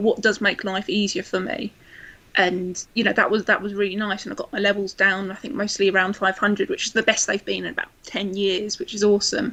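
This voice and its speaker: A woman speaks at a medium pitch with a southeast English accent. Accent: south east English. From south east England, Kent. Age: 20s. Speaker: blogger and administrator with PKU. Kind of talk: casual chat. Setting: live video chat.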